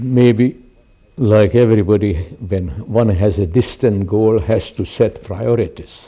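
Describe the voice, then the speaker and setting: Using a dark, mellow tone and ordinary pitch variation, a man with a Hungarian accent speaks at a very slow pace. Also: fairly low pitch for a man. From Hungary. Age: 80s+. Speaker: artist and educator. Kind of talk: interview. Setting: home.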